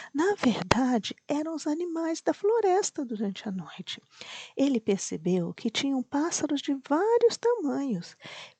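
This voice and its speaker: Whispering at a fairly slow pace, a woman comes through in a dry, close sound with no echo. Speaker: bedtime story narrator. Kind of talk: sleep story for children. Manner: slow, almost whispering.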